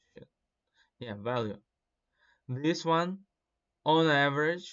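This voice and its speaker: A man with a non-native accent talks at a fairly slow pace, using ordinary pitch variation. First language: not English. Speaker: gaming content creator. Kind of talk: casual commentary. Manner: hesitant, many fillers.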